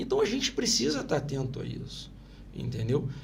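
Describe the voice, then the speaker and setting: A somewhat breathy man talks at a fairly quick pace. There is audible room echo. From Brazil, Itaguaí (Rio de Janeiro state). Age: 50s. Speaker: local politician. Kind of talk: interview. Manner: animated.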